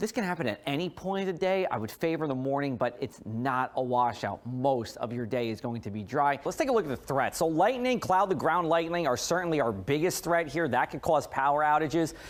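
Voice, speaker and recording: At a fairly quick pace and with hardly any pauses, a man speaks in a fairly high pitch with lively intonation over noticeable background noise. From New Jersey. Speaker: TV meteorologist. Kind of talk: weather forecast.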